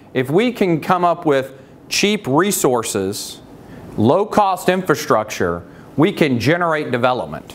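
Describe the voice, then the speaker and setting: With noticeable background noise, a man speaks at a fairly slow pace, his fairly high pitch swinging very widely while his loudness stays very even. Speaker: utility industry speaker. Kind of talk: motivational talk.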